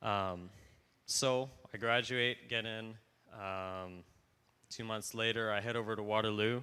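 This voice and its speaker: A man with a fairly low pitch speaks at a very slow pace, his bright, sharp tone held in fairly even intonation. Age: 20s. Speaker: university student. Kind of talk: testimony.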